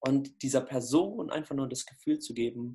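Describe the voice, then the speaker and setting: A man talks in a medium pitch with ordinary pitch variation. His voice is somewhat breathy. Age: 20s. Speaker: anti-bullying coach. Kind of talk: interview. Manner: casual.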